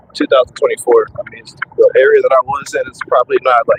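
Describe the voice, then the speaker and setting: Noticeable background noise sits behind the recording. A man speaks at a fairly quick pace. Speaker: truck driver vlogger. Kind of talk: casual vlog talk. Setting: in a truck. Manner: halting, repetitive. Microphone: cheap microphone.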